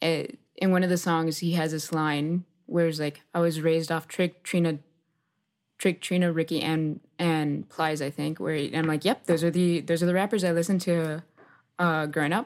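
A woman with an unremarkable speaking voice and an American accent speaks at a fairly low pitch and a moderate pace with fairly even intonation, on a very clean recording with a silent background. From Miami, Florida (West Kendall). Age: 20s. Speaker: software engineer. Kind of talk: interview.

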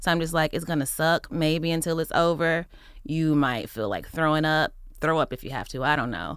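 At a moderate pace, a woman with a very deep, low voice and an American accent speaks with ordinary pitch variation on a very clean recording with a silent background. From Texas. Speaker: podcast host. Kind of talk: casual interview chat.

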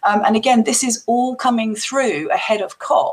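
Over noticeable background noise, a woman speaks with a fairly high pitch and lively intonation. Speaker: investor. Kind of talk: panel discussion.

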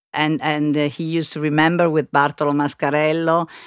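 A woman speaks in a very deep, low pitch with an Italian accent. The recording is very clean, with a silent background. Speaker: interpreter. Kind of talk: interpreting. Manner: halting.

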